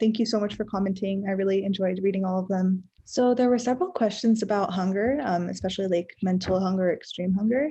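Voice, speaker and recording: At a very fast pace with hardly any pauses, a woman speaks in a medium-pitched, somewhat breathy voice with a dark, mellow tone and fairly even intonation. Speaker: vlogger. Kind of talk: casual vlog talk. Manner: soft-spoken.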